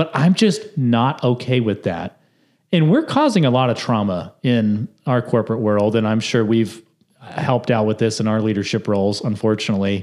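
This is an ordinary speaking voice. A man talks at medium pitch with very even loudness. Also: ordinary pitch variation, moderate pace. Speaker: podcast host. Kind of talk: casual chat. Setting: video podcast.

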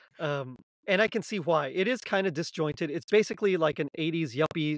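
A man's fairly high voice with an American accent, an unremarkable speaking voice, fairly quick and lively in intonation, in a very clean recording with a silent background. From South Texas. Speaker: podcast host guest. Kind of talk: casual chat.

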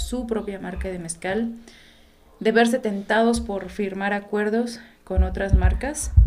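Amid noticeable background noise and audible room echo, a woman speaks at a fairly slow pace. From Mexico, Oaxaca. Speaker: photographer. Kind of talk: casual interview chat.

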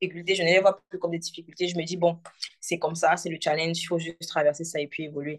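The woman's voice sits fairly low in pitch. She speaks very fast with monotone, flat intonation. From Cameroon, Douala. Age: 20s. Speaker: entrepreneur, hair stylist. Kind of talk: casual interview chat.

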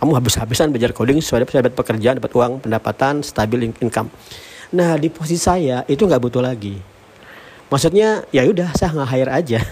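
A man talks at a very fast pace in a medium pitch, his intonation lively. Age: 40s. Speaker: tech founder and podcaster. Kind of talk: solo monologue podcast. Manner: casual, filler-heavy.

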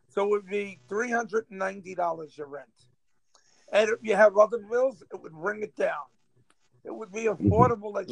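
Talking at a fairly slow pace with long, frequent pauses, a man with a New York accent uses a high pitch, ordinary pitch variation and big swings in loudness, all in a dry, close sound with no echo. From New York, Rockaway, Queens. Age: 50s. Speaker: local politician. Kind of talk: casual chat. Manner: animated.

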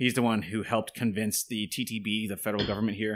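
On a very clean recording with a silent background, a man speaks at a fairly quick pace with a fairly low pitch. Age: 30s. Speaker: absinthe distiller and business owner. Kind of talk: casual chat.

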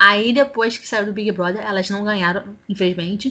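A woman of medium pitch talks in a plain, everyday voice at a moderate pace, her intonation fairly even. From Brazil, Rio de Janeiro city. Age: 30s. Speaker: podcast panelist. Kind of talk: casual chat.

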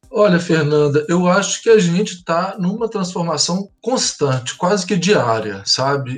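This man's voice sits high in pitch and moves through very wide pitch swings. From Minas Gerais, Brazil (Belo Horizonte). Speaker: school pedagogical coordinator and psychologist. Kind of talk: interview.

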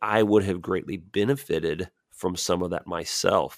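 Very deep and low, this man's voice comes with an American accent at a fairly slow pace. The recording is very clean and dry, close with no echo, over a silent background. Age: 40s. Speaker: missionary, pastor. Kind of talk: interview conversation. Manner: repetitive, stumbling starts.

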